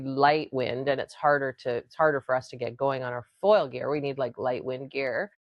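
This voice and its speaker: A woman speaks in a very deep, low voice with fairly even intonation. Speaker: podcast host. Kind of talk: casual talk to camera. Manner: ranting, frustrated.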